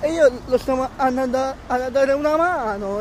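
An extremely high-pitched male voice with ordinary pitch variation, dry sound with no echo, noticeable background noise. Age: 20s. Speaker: vlogger. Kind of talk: casual vlog. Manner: halting, many repetitions. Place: street. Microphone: phone near.

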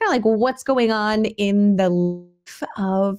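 The background is quiet. A woman talks at a very slow pace. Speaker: homestead podcast host. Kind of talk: podcast monologue. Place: home room. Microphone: studio mic.

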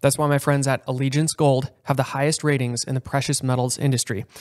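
With a quiet background, a man speaks in a plain, everyday voice, fairly high in pitch and with fairly even intonation. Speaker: podcast co-host. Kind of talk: casual interview chat. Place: home room. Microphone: studio mic.

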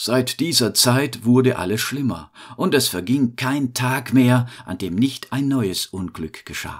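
In a calm, soothing tone, a man speaks very slowly at medium pitch with ordinary pitch variation. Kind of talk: bedtime story telling. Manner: slow, calm, soothing storyteller pace; gentle, warm, fairy-tale narration.

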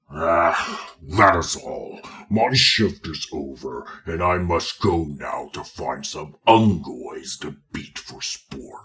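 Using a put-on character voice, a man speaks very slowly in a raspy, very deep, low register. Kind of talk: in-character audio log. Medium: audio drama.

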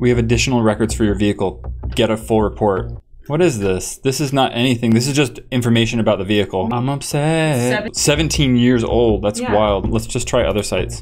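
Fairly quick in pace and ordinary in pitch variation, a man talks as noticeable background noise continues. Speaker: video host. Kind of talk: casual vlog chat. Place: studio. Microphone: studio mic.

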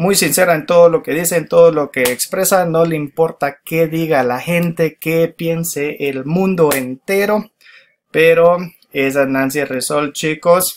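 A man speaks at a very slow pace in a high voice. Light background noise sits behind him. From Guatemala. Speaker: YouTuber. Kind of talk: casual video commentary. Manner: hesitant, many fillers. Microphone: webcam.

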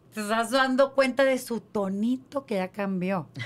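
A woman talks at a fairly slow pace, her fairly high pitch moving with ordinary variation. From Mexico. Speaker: podcast co-host. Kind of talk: casual chat. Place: studio. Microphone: studio mic.

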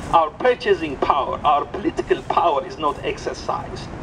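Fairly quick speech from a man, over noticeable background noise. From Ethiopia. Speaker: coffee entrepreneur and community organizer. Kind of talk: impassioned outdoor rally speech denouncing exploitation of coffee farmers. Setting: outdoors at a rally with crowd. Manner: fervent, moralizing, building to indignant repetition; halting, with frequent restarts and repeated words. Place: street. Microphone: pa.

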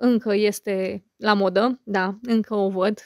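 A woman with a plain, everyday voice speaks at medium pitch with fairly even intonation, captured in a very clean recording with a silent background and a dry, close sound with no echo. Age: 30s. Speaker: YouTuber and podcaster. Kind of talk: casual monologue to viewers.

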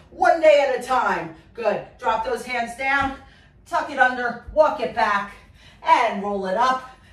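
Moderate pace and ordinary pitch variation, with audible room echo. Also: woman. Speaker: fitness instructor. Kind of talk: workout instruction. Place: gym. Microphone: camera far.

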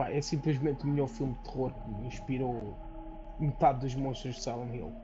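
Fairly quick and fairly even in intonation, a man's speech comes through noticeable background noise. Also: medium pitch for a man. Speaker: gaming streamer. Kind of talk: casual chat while playing a game. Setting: live stream. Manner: joking, with playful accent imitations.

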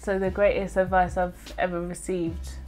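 A woman talks at a moderate speed while music plays faintly behind her. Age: 20s. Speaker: spoken word poet. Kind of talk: interview answer. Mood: warm, reflective, animated. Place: home room.

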